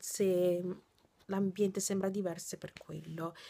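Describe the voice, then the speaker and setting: A woman speaks with a dark, mellow tone. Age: 20s. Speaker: vlogger and nursing student; vlogger. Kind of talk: casual vlog. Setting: in her bedroom. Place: home room. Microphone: phone near.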